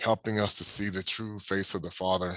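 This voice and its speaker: Bright and sharp in tone, a man's very deep, low voice stays monotone and flat. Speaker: religious teacher. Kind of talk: sermon. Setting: home at night. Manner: soft-spoken; halting.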